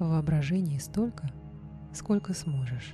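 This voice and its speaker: A woman speaks in a soothing tone with a very deep, low pitch, with music playing in the background. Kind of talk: guided meditation / hypnosis for lucid dreaming. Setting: studio recording with background music and binaural beat. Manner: slow, soft, soothing.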